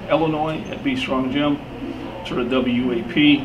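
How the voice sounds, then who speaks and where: Noticeable background noise and audible room echo surround a man's voice. His pitch is fairly high, with ordinary variation. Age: 60s. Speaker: powerlifter. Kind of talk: casual talk to camera, training tips. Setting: gym. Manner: halting, many repeated words.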